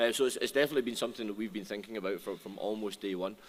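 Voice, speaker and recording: A man with a Scottish accent and a medium pitch. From Scotland. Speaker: restaurant brand founder. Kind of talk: panel discussion. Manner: halting, many repetitions.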